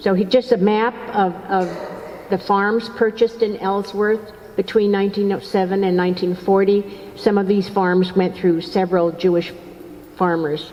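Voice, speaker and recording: Over noticeable background noise, a woman at medium pitch talks at a moderate pace with fairly even intonation. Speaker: author and lecturer. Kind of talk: lecture. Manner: halting.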